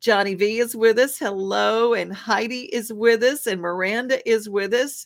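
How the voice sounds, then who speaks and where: A woman at a moderate pace and a fairly high pitch, with hardly any pauses. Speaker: TV show host. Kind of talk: casual chat. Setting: studio. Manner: animated.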